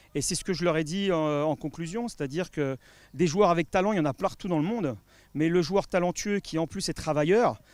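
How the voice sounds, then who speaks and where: The recording is very clean with a silent background, and a man speaks at a fairly quick pace. His pitch is high, with ordinary variation. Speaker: football fitness coach. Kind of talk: interview. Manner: fast; hesitant, many fillers.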